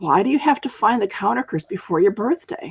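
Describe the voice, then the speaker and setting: Delivered at a fairly quick pace, a put-on character voice sits at a fairly high pitch and swings very widely in pitch. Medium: read story. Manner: inquisitive.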